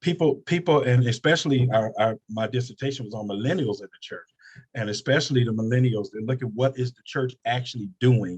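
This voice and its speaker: This man talks at a fairly quick pace and a medium pitch, his voice somewhat breathy. Pitch varies in an ordinary way while loudness swings widely, and the sound is dry and close with no echo. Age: 60s. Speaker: pastor. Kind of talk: panel discussion.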